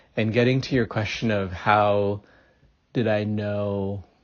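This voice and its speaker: Fairly low-pitched and moving at a moderate pace, a man with a plain, everyday voice keeps his intonation fairly even. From India, moved to US at nine. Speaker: author. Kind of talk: interview.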